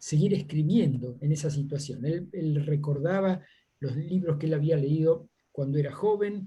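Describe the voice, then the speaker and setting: Somewhat breathy, fairly high-pitched male speech with a dark, mellow tone at a fairly slow pace. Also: ordinary pitch variation. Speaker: seminar participant. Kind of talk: Q&A discussion. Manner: halting, many fillers.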